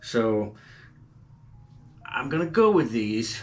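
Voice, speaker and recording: Music plays behind a man with a Southern US accent and a medium pitch, whose voice carries audible room echo. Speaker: gardening YouTuber. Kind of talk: tutorial. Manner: casual, hesitant with fillers.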